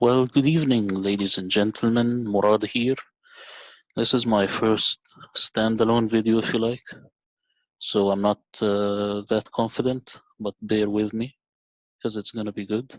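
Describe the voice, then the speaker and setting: Over a quiet background, a man with a non-native accent talks at a fairly slow pace and fairly low pitch, his monotone, flat delivery broken by long, frequent pauses in a dry, close sound with no echo. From Middle East. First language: not English. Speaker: video narrator. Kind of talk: documentary narration.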